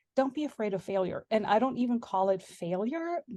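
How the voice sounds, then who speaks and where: With a German accent and a dark, mellow tone, the speaker moves at a moderate pace with ordinary pitch variation. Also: woman. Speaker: homemaking and sourdough blogger. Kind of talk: interview.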